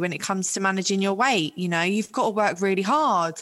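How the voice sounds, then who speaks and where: A woman with a London accent speaks in a bright, sharp tone. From West London. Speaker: author and make-up artist. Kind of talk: casual chat.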